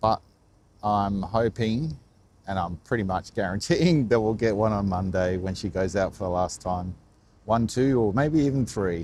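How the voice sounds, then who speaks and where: Quiet and with an Australian accent, a man speaks at a moderate pace, fairly low pitch and ordinary pitch variation. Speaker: live stream vlogger. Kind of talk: live stream commentary. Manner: quiet, subdued.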